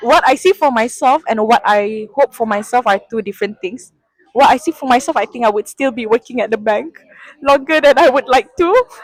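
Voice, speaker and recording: A woman's high-pitched voice with lively intonation and a Sarawakian accent. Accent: Malaysian (Sarawakian) English. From Malaysia, Sarawak (Kuching). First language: Sarawak Malay. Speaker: sustainability analyst at a bank. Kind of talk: interview. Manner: hesitant, with fillers.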